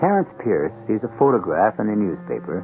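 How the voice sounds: A man with big pitch swings over faint background noise.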